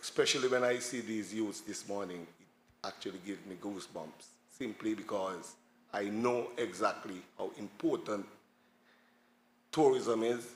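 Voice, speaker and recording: A man speaks at a moderate pace with a Montserratian accent, his pitch medium and its variation ordinary. Long pauses come often. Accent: Montserratian Caribbean English. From Montserrat, village of Saint Patrick's. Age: 60s. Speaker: tour guide. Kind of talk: panel talk.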